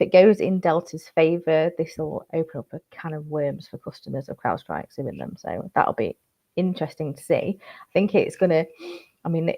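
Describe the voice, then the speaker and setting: Speaking in a Yorkshire accent at a moderate pace, a woman shows big swings in loudness. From Yorkshire, northern England. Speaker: cybersecurity news presenter. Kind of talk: news briefing monologue.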